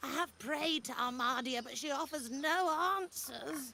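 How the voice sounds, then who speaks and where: A female-sounding voice speaks at a moderate pace in a high pitch. It is a put-on character voice. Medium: video game.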